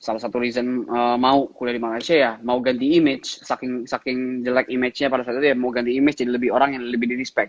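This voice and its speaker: The delivery moves at a very fast pace. There are hardly any pauses. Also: man, medium pitch for a man. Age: 20s. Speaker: entrepreneur. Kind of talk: interview. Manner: casual, animated.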